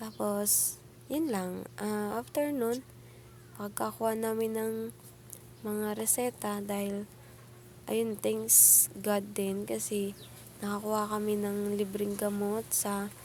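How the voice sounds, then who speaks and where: Long, frequent pauses break up the woman's very slow pace. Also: very even loudness. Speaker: vlogger. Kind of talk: personal story vlog. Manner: casual, halting.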